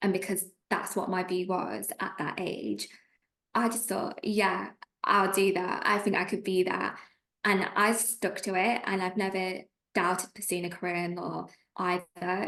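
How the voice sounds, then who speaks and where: Speaking in a Lancashire accent, a woman keeps a monotone, flat intonation at a medium pitch and a moderate pace. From northern England, Preston, Lancashire. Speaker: trainee solicitor. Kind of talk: interview.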